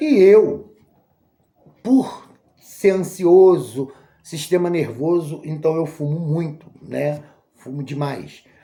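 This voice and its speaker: A woman's breathy, put-on character voice, fairly low in pitch with ordinary variation, very slow, with long, frequent pauses. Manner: breathy, panting.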